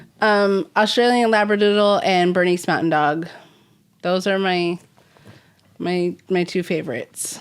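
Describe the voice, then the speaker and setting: In a very clean recording with a silent background, a woman with an American accent speaks at a fairly slow pace and a medium pitch, with ordinary pitch variation and long, frequent pauses. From Southern California, Simi Valley. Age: 30s. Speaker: recovering alcoholic guest. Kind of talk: personal testimony interview.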